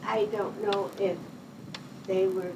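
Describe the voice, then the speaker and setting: A woman at a very slow pace, monotone and flat, with audible room echo and noticeable background noise. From Pittsfield, Massachusetts, US. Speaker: retired nurse. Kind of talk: oral history interview. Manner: conversational, hesitant.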